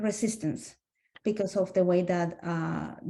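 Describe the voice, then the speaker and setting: Somewhat breathy and dark, mellow in tone, a woman with a Spanish accent speaks at a fairly slow pace and a medium pitch. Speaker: SLP webinar participant. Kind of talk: group discussion. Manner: halting.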